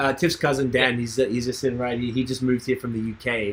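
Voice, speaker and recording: A man talks at a very fast pace in a medium-pitched voice. His delivery is somewhat breathy. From Australia, Melbourne. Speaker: podcast host. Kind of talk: casual chat. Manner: animated.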